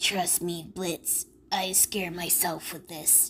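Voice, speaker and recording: A female-sounding put-on character voice speaks at a very slow pace with a middle pitch and a raspy quality. The intonation is flat and monotone over clear background noise. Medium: solo performance. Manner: nervous, hesitant.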